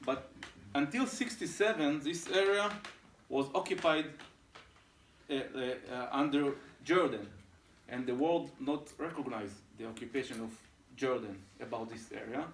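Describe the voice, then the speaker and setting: This man talks at a moderate pace with a fairly high voice, leaving long, frequent pauses, and the room echo is audible. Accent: Israeli. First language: Hebrew. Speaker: settler council executive. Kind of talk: briefing talk to visiting delegation. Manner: halting, many hesitations.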